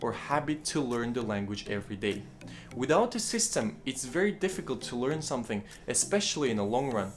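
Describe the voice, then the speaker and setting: Music plays in the background. The speaker, with a Kazakh accent, makes very wide pitch swings. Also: man. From Kazakhstan. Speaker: language-learning YouTuber. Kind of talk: tutorial.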